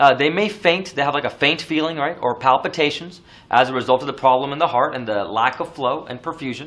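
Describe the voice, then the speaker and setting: A fairly quick delivery with hardly any pauses and ordinary pitch variation. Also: man, fairly high pitch for a man. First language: not English. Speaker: nursing exam lecturer. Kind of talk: lecture. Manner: casual, many fillers.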